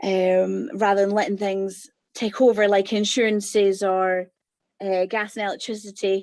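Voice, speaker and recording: Speaking at a fairly slow pace, a woman with a Scottish accent uses a medium pitch. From Scotland. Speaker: course participant, mother, former dance school owner. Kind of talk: interview. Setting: video call. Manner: hesitant, many fillers.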